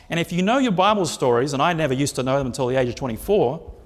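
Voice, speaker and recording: His delivery is very fast. This man's voice sits fairly high. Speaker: preacher. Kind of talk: sermon.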